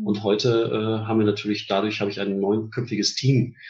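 A man's fairly low, somewhat breathy voice at a moderate pace, with fairly even intonation. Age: 50s. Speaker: headhunter, managing director. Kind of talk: interview.

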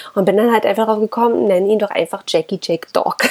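A woman talks at a very fast pace, her medium-pitched voice fairly even in intonation, with noticeable background noise behind her. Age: 30s. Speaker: dog-owner podcaster. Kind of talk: casual monologue. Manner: hesitant, many filler sounds.

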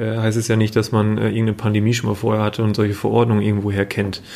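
Over noticeable background noise, a voice rushes at a very fast pace in a monotone, flat intonation. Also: man. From northern Germany, Emsland (Meppen). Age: 30s. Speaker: business association manager. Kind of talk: interview. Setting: office.

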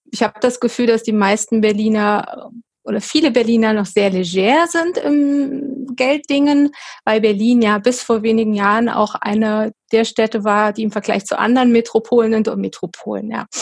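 A woman speaks in a fairly high pitch, her voice somewhat breathy. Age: 40s. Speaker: professional organizing and decluttering coach. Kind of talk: interview.

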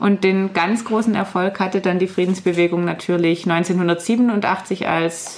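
With fairly even intonation, a woman speaks at medium pitch in an unremarkable speaking voice. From Baden-Württemberg, Ostalb area. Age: 20s. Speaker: peace activist. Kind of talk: radio interview. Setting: radio studio.

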